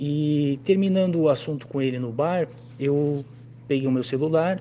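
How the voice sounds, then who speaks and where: Pitched fairly high, a man speaks in a plain, everyday voice whose pitch varies in an ordinary way. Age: 30s. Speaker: customer testimonial. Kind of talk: testimony.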